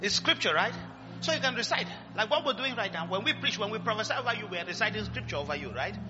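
A man talking at a very fast pace in an animated tone, with music in the background. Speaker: pastor. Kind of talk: sermon with fervent prayer and call-and-response. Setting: church with live congregation. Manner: fervent, animated, urging the congregation to shout and pray aloud.

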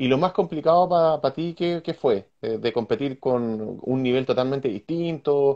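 A man with a Chilean accent, medium pitch and ordinary pitch variation. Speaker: motocross show host. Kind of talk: casual interview.

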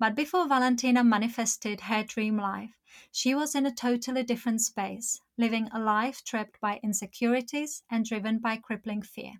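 Here a woman has a plain, everyday voice with fairly even intonation at a moderate pace. She barely pauses, on a very clean recording with a silent background. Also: fairly high pitch for a woman. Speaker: podcast host. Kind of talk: interview.

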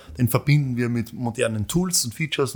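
A man speaks at a fairly quick pace with a medium pitch and a somewhat breathy quality. The recording is very clean, with a silent background. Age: 40s. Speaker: company founder and CEO. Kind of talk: interview. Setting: studio. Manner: halting, many fillers.

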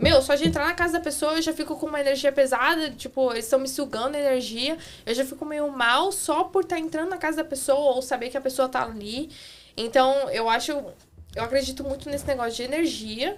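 On a very clean recording with a silent background, a woman talks at a fairly quick pace and high pitch. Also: ordinary pitch variation. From Santa Catarina, southern Brazil. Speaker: cleaner and former au pair. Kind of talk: casual chat. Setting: studio.

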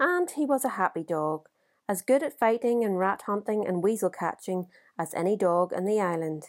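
This woman has an unremarkable speaking voice at a medium pitch, with lively intonation. She talks at a moderate pace on a very clean recording with a silent background. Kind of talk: audiobook reading of a literary short story.

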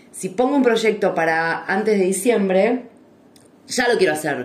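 Audible room echo surrounds a woman speaking at a moderate pace with medium pitch. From Argentina. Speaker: podcast co-host. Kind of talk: casual chat. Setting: live stream recording.

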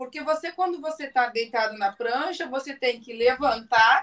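A woman is talking. Her pitch is high. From Rio Grande do Sul, southern Brazil. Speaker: businesswoman and surfer. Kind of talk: casual chat.

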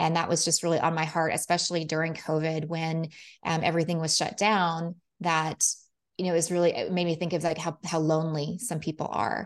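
This woman talks at a fairly quick pace with a fairly low pitch. The background is quiet. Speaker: real estate investor. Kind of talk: interview. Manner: enthusiastic.

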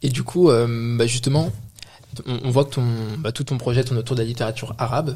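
A man of medium pitch talks at a fairly quick pace with fairly even intonation. Long, frequent pauses break up his speech. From France, Moroccan heritage. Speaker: podcast co-host. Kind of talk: casual chat.

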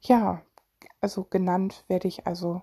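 Fairly slow speech from a woman at medium pitch, dry and close with no echo, on a very clean recording with a silent background. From Germany, Solingen (Rhineland). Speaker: podcaster and mental health blogger. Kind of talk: casual personal monologue. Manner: hesitant, many fillers.

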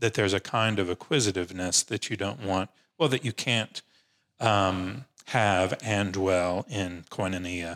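A man's very deep, low pitch, fairly slow, with ordinary pitch variation, in a dry, close sound with no echo on a very clean recording with a silent background. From Nashville, Tennessee. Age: 50s. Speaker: religion professor. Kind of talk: casual chat.

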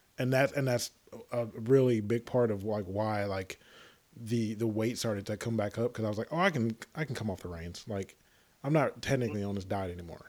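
A man with a Southern US accent talks at a medium pitch with ordinary pitch variation. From Tennessee. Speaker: podcast host. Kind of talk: casual chat. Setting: remote call.

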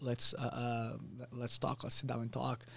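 Speaking in a Portuguese accent, a man has a medium pitch and a somewhat breathy voice. He keeps a moderate pace. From Brazil, Rio de Janeiro. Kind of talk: casual interview.

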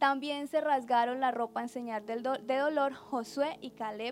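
A woman speaks in a high-pitched voice. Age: 20s. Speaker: preacher. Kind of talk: sermon.

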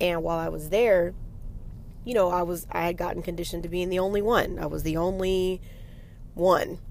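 With a normal speaking voice, a woman talks at a fairly low pitch and with fairly even intonation. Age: 40s. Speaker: podcast host. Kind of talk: solo monologue podcast. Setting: in a car.

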